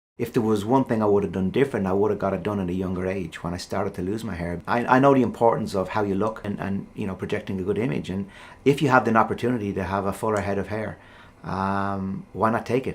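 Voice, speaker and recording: In an Irish accent, a man with a fairly low pitch talks very fast, his pitch varying in an ordinary way. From Ireland. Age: 50s. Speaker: professional golfer. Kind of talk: interview answer. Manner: casual, hesitant.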